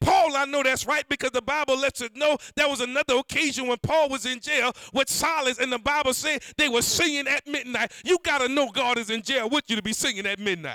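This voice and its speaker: With an extremely high pitch, a man talks in a raised, projected voice and an animated tone at a fairly quick pace, using ordinary pitch variation and hardly any pauses. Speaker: preacher. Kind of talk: sermon. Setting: church. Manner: animated, call-and-response preaching; fervent, rhythmic.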